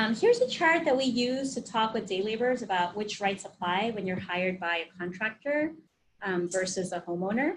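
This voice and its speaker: Lively in intonation, a woman speaks at a fairly high pitch with a somewhat breathy sound. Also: fairly quick pace. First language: Spanish. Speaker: occupational health trainer. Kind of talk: webinar presentation. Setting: online webinar. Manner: conversational.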